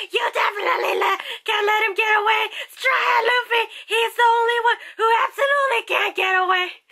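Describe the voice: This is a put-on character voice, raspy and extremely high in pitch. It moves at a moderate pace.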